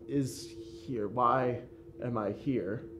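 Noticeable background noise runs under the recording. Over it, a man talks with fairly even intonation. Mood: calm, serious, explaining. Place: hall.

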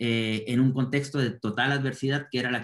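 A man with an ordinary speaking voice talks at a moderate pace with fairly even intonation. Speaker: cultural project expert. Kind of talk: reflective summary in online panel. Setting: video call. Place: home room. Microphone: video call.

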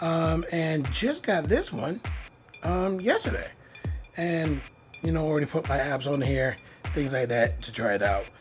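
Over clear music in the background, the speaker talks at a fairly slow pace with long, frequent pauses. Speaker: tech reviewer. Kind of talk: casual product review. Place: home room. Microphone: phone near.

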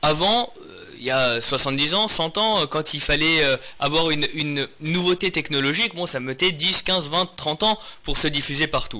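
A man with a bright, sharp tone delivers his words at a fairly slow pace. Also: fairly high pitch for a man, ordinary pitch variation. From France, Paris region, Iranian parents. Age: 30s. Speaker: mayor and lawyer; interview guest, mayor. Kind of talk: interview. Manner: hesitant with frequent repetitions. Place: studio. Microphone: studio mic.

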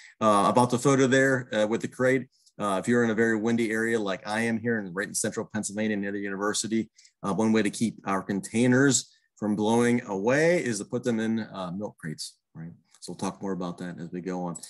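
Against a quiet background, a man with a fairly low pitch talks at a fairly quick pace with ordinary pitch variation. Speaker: presenter. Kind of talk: webinar lecture. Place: home room. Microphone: webcam.

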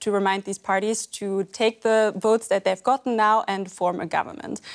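A woman is speaking. Her pace is moderate. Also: quiet background. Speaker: guest. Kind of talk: interview answer. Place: studio.

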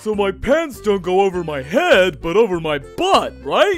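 A man's put-on character voice, high in pitch, at a moderate pace, with clear music in the background. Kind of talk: comic overacting. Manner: slow, confused, dopey.

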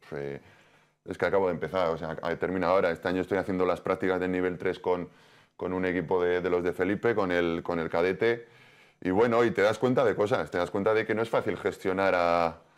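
Over a quiet background, a man talks in a very deep, low pitch with fairly even intonation. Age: 40s. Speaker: professional football goalkeeper; guest. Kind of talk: TV sports interview. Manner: halting, many repetitions. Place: studio. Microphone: lapel.

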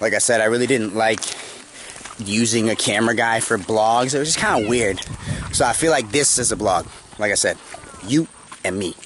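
A man talks at a fairly quick pace with ordinary pitch variation. Light background noise is present. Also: dry sound with no echo. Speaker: dog trainer vlogger. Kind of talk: casual vlog chat. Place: open country. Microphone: phone near.

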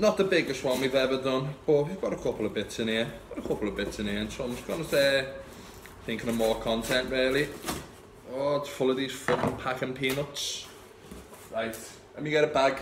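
A man with a Liverpool accent at a fairly quick pace, with long, frequent pauses, ordinary pitch variation and noticeable background noise. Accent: Scouse. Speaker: vape shop owner and vape reviewer. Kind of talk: casual unboxing talk to camera. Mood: relaxed, chatty. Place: shop. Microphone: phone near.

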